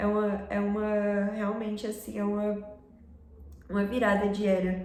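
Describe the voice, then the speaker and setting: A woman's medium-pitched voice at a very slow pace, with audible room echo and noticeable background noise. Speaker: fashion and culture YouTuber. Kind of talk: casual vlog commentary.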